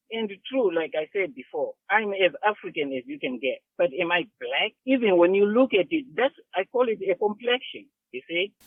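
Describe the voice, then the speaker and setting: A high-pitched man's voice with lively intonation. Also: moderate pace. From Zimbabwe. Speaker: author. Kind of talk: interview. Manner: halting.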